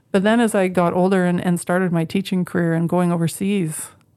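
In a Canadian Prairie accent, a woman talks at a fairly quick pace. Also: very clean recording, silent background. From Canadian prairies, Moose Jaw, Saskatchewan. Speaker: education professor and dean. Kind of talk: interview monologue.

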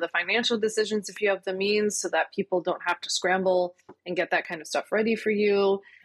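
A woman speaks at a fairly quick pace in a normal speaking voice of medium pitch, with fairly even intonation. The sound is dry and close, with no echo. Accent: American. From Philadelphia, US. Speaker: lawyer turned entrepreneur. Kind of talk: casual interview chat.

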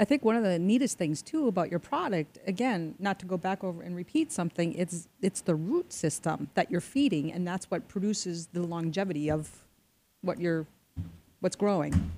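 A woman with an American accent speaks at a moderate pace, her fairly low voice dark and mellow, with lively intonation. The recording is very clean, with a silent background and a dry, close sound free of echo. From Minnesota. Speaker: radio show host, guest co-host. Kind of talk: casual radio chat.

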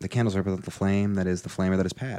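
Here is a man with a very deep, low pitch. His tone is dark and mellow. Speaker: stand-up comedian. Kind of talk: casual chat. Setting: home studio.

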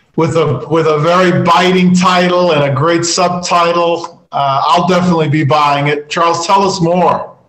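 A man's high-pitched voice at a fairly slow pace, with fairly even intonation and noticeable background noise. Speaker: podcast co-host. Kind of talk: interview hosting.

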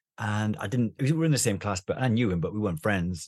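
Against a quiet background, a man with a fairly low pitch speaks very fast with lively intonation. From northeast England. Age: 50s. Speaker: doctor and therapeutic gaming charity chairman. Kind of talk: interview.

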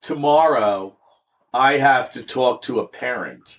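A man's plain, everyday voice at medium pitch with ordinary pitch variation, on a very clean recording with a silent background. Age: 50s. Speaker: schoolteacher and podcast guest. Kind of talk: casual chat.

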